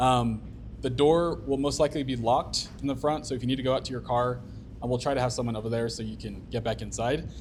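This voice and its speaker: A fairly quick pace with audible room echo. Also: man. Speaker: meetup organizer. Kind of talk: event introduction. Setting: stage with audience. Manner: monotone.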